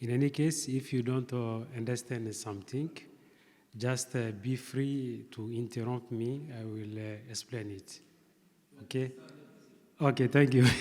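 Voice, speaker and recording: A man with a non-native accent talks at a fairly slow pace in a medium-pitched voice with a dark, mellow tone and fairly even intonation. His loudness swings widely, and he leaves long, frequent pauses. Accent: non-native, pronunciation difficulties. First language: not English. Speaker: seminar speaker. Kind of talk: academic presentation. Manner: hesitant, many fillers.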